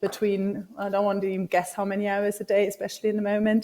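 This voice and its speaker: A woman speaks with a German accent at a medium pitch. Her pace is fairly quick and her tone dark and mellow. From Germany. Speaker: startup business development director. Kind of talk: conference talk. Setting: video call.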